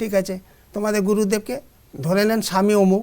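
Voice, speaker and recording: This is a man speaking with a high pitch. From North Bengal, India (Alipurduar). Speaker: retired private company employee, spiritual practitioner. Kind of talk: interview testimony. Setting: studio.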